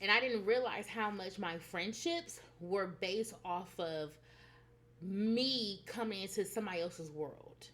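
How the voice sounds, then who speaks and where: Lively intonation in a woman's medium-pitched voice. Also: fairly slow pace. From United States. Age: 30s. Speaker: spiritual vlogger. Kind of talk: personal vlog monologue. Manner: casual, hesitant with fillers.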